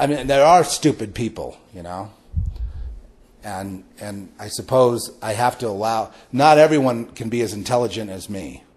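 This man has an unremarkable speaking voice, medium in pitch, with an American accent and lively intonation. He talks at a moderate pace, and his loudness swings widely. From Los Angeles. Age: 60s. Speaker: podcast host. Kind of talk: spiritual monologue.

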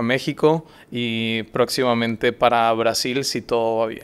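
With a Mexican accent, a man speaks at a fairly slow pace in a monotone, flat intonation. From northern Mexico, Saltillo; northern Mexico. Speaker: startup founder; guest. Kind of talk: interview. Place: studio. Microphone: studio mic.

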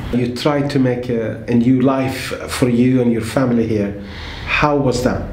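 Against light background noise, a man talks at a fairly slow pace. The room echo is audible. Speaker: interviewer. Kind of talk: interview. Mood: gentle, warm, halting. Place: home room.

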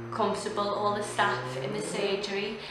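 A woman speaks at a moderate pace amid noticeable background noise and audible room echo. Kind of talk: testimonial. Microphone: phone near.

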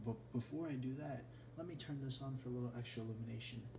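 Over noticeable background noise, a man talks at a fairly quick pace with a monotone, flat intonation. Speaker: hobbyist reviewer. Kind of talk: casual talk to camera. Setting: indoors in a bedroom at night. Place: home room. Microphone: phone near.

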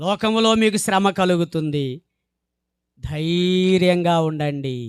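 Here a man speaks in a high voice. The recording is very clean, with a silent background. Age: 40s. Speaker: preacher. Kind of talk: sermon. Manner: emphatic, repetitive.

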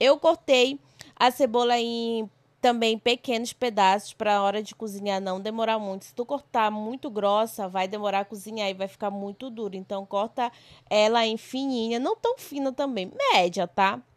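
A woman with an ordinary speaking voice, fairly high pitch, fairly even intonation, a moderate pace and big swings in loudness, in a very clean recording with a silent background and a dry, close sound with no echo. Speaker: cooking vlogger. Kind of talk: cooking tutorial vlog narration. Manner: casual, chatty.

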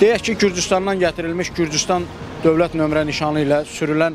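Over noticeable background noise, a man with a fairly high pitch and ordinary pitch variation talks at a moderate pace in a dry sound with no echo. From Azerbaijan. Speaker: traffic police officer; interviewee commenting on traffic enforcement. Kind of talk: news interview. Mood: serious, critical. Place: street. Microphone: handheld.

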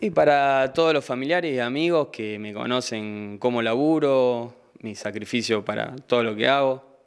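The background is quiet as a man talks at a moderate pace. He shows ordinary pitch variation and hardly any pauses. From Argentina, Santa Fe province. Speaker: incoming city councillor and sports figure; incoming town councillor. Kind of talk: interview. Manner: hesitant, repeats words. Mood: grateful, upbeat. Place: studio. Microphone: handheld.

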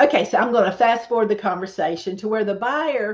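A woman's fairly high voice with a Southern accent, against a quiet background. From southeastern North Carolina. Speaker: real estate agent. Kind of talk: casual vlog talk to camera. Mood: warm, storytelling.

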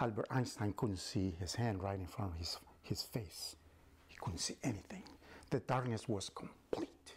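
With a Spanish accent, a man speaks at a moderate pace in a dramatic, somewhat breathy voice, his fairly low pitch showing ordinary variation and his loudness swinging widely. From Mexico City. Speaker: storyteller and language instructor; storyteller, language instructor. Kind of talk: bilingual storytelling. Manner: dramatic, with repetition. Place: classroom.

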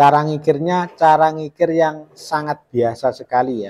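A man talks at a fairly slow pace in a fairly high pitch. He has a normal speaking voice. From Indonesia. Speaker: carpenter showing saw sharpening. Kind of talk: tutorial. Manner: casual, repetitive filler phrases. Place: workshop.

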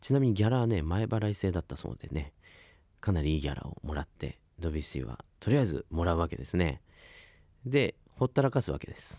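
Against a quiet background, a man talks at a very fast pace with a very deep, low pitch and a dark, mellow tone. His pitch swings very widely, and his loudness rises and falls a lot. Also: dry sound with no echo. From Ibaraki, Japan; Japan. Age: 20s. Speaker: saxophonist and radio host; radio host. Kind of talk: radio talk show. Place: studio. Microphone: studio mic.

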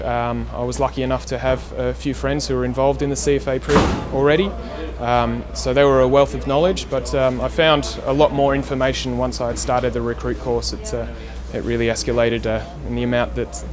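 Faint music sits in the background. Over it, a man speaks at a fairly quick pace. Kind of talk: interview answer. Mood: calm, earnest. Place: street.

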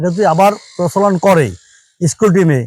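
This man has a high-pitched voice with a dark, mellow tone. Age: 60s. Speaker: coconut-fibre mat maker. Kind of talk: interview.

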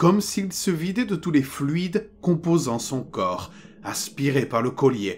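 The delivery is very slow. Pitch swings very widely. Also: man. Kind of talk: ghost story telling, horror narration read aloud. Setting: studio recording for headphones. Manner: slow, hushed and suspenseful, building dread; grave first-person narrator, measured and tense.

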